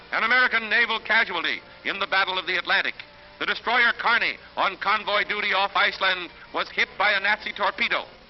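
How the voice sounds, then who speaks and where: A man rattles off words at a very fast pace and a high pitch in a monotone, flat intonation. Noticeable background noise sits behind him. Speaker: newsreel narrator. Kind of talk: newsreel narration.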